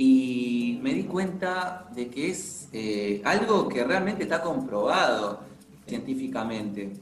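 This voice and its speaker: Speaking at a very slow pace, a man uses a fairly high voice with very wide pitch swings. Audible room echo and noticeable background noise surround him. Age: 30s. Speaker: podcast host. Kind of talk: casual interview chat.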